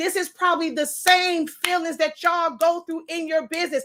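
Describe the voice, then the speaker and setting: A woman is shouting in a raised, projected voice with a bright, sharp tone, on a very clean recording with a silent background. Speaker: online craft teacher and business owner. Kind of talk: livestream rant. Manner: loud, yelling.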